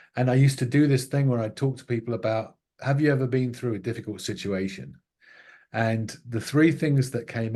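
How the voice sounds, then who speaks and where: Against a quiet background, a man with a dark, mellow, somewhat breathy voice speaks at medium pitch with ordinary pitch variation. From England. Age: 60s. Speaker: filmmaker and author. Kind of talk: podcast interview. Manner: halting, many repetitions and fillers.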